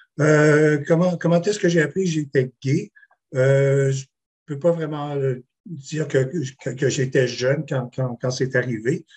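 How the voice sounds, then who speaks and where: A man with a fairly high pitch and a somewhat breathy voice speaks at a very slow pace. His intonation is fairly even, in a dry, close sound with no echo. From Quebec City. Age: 60s. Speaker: panelist, swimming coach. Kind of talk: testimony. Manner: halting.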